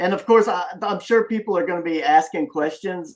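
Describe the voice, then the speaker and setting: A man speaks with a Southern US accent. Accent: deep South Southern drawl. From US Deep South. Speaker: comic creator and live show host. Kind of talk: casual live-stream interview. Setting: live stream with chat. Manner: lyrical.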